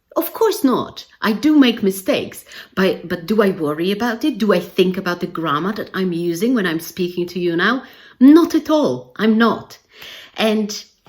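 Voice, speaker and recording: A woman with a non-native accent speaks at a moderate pace and medium pitch, her pitch swinging very widely. The recording is very clean, with a silent background. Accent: non-native English speaker. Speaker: English language teacher trainer. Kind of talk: educational video talk to camera. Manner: casual conversational.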